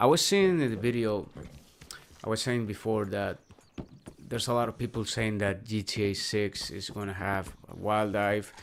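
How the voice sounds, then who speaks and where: A man with a Spanish accent speaks in a fairly low pitch with fairly even intonation. He leaves long, frequent pauses. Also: moderate pace. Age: 30s. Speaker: gaming streamer. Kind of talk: casual live-stream chat. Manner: halting.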